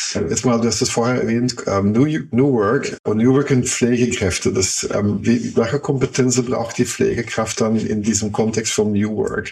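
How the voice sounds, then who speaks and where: Over noticeable background noise, a man talks at a fairly slow pace with very even loudness, ordinary pitch variation and hardly any pauses. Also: medium pitch for a man. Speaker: podcast interviewer. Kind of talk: interview.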